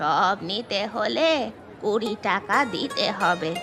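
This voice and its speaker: Over clear music in the background, a woman does a cartoonish character voice at a medium pitch with lively intonation. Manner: blunt, nosy.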